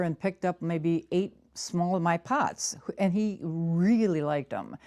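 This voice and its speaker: The recording is very clean and dry, with a silent background and no echo, as a woman speaks at a fairly low pitch in a dark, mellow tone with ordinary pitch variation. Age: 60s. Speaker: bonsai potter. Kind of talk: interview.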